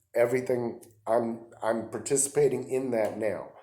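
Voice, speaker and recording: With audible room echo, a man of medium pitch speaks at a moderate pace in a dark, mellow tone with fairly even intonation. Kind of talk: religious teaching monologue. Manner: halting, with fillers.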